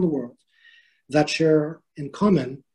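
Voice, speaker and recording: A man's fairly high voice with a Quebec accent, a dark, mellow tone and fairly even intonation. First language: French. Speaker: diplomat. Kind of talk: formal welcome speech. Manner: hesitant, many fillers.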